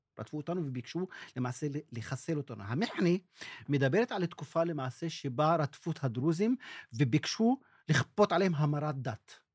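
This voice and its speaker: A man with an Arabic accent, a fairly high, somewhat breathy voice and lively intonation, in a very clean recording with a silent background and a dry, close sound without echo. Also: moderate pace. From northern Israel, Druze village. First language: Arabic (speaking Hebrew). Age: 60s. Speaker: journalist and documentary maker. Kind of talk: interview testimony.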